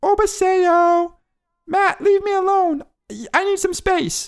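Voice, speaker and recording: A female-sounding, put-on character voice at an extremely high pitch speaks at a fairly slow pace in a monotone, flat way. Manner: annoyed, brushing him off.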